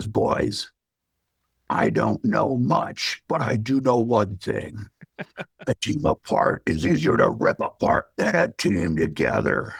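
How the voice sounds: Raspy put-on character voice from a man, medium pitch, fairly slow pace, with a dry, close sound and no echo.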